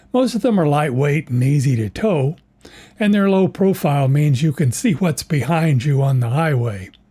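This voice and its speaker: A dark, mellow tone, somewhat breathy, with lively intonation. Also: man. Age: 80s+. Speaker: retired DIY video maker. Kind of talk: scripted narration.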